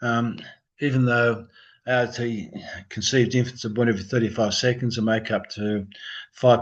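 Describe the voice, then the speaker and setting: A man mumbles at a fairly quick pace. His pitch sits in the medium range. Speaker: embryologist. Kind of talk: lecture. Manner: mumbling.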